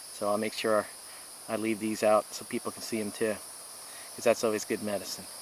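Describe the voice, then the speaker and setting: A man with a fairly low pitch talks at a fairly quick pace in a monotone, flat intonation, his loudness swinging widely. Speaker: hiking and camping vlogger. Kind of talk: outdoor vlog narration. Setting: outdoors at campsite. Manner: hesitant, many fillers. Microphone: poor microphone, hard to hear.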